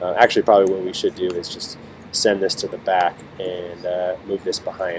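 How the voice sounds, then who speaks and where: A man speaks in a very deep, low pitch with monotone, flat intonation. Noticeable background noise is present. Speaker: teacher. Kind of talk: tutorial. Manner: fast.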